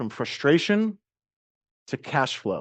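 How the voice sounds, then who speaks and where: Over a quiet background, a man with an American accent sounds energetic, his pitch swinging very widely. He speaks at a fairly slow pace. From US East Coast. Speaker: marketing coach. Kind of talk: business training talk.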